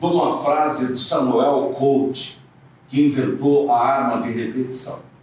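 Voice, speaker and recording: Through noticeable background noise and audible room echo, a man speaks very slowly in a fairly high pitch. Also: ordinary pitch variation. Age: 70s. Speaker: radio host and newspaper owner. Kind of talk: interview.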